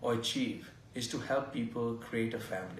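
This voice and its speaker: A somewhat breathy man with an Indian accent at a fairly slow pace, with audible room echo. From India (Goa). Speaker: fertility doctor. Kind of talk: interview.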